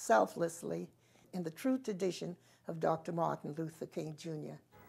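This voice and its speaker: Speaking in a Southern US accent at a moderate pace, a woman uses lively intonation in a fairly low pitch with a dark, mellow tone. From South Carolina. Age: 80s+. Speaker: community activist. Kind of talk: interview answer.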